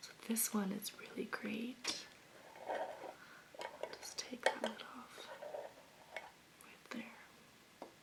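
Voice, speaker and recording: Whispering in a gentle, relaxed tone, a woman speaks over noticeable background noise. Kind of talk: ASMR soft-spoken talk to camera about candles. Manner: soft-spoken, gentle, relaxed.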